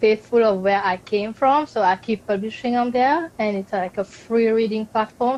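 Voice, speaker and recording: A woman with a Mauritian accent, fairly high in pitch, at a moderate pace with ordinary pitch variation. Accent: Mauritian accent, noticeable. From Mauritius. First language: Mauritian Creole. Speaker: author. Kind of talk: interview. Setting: live video stream.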